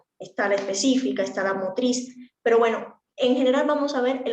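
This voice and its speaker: A woman talks at a fairly quick pace with a high pitch and ordinary pitch variation. Audible room echo surrounds her voice. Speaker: speech therapy instructor. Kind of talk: lecture. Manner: fast.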